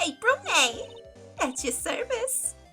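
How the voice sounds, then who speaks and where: A squeaky, extremely high female-sounding put-on character voice over clear background music. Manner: polite, playful.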